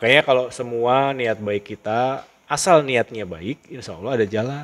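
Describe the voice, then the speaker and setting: With an animated tone, a man speaks at a moderate pace in a medium pitch with ordinary variation, the sound dry and close with no echo. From Java, Indonesia (Cirebon area). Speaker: school principal. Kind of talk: interview, personal life story. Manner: casual, animated storytelling.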